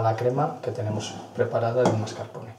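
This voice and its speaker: A man speaks at a moderate speed, and audible room echo surrounds him. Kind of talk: tutorial. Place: kitchen.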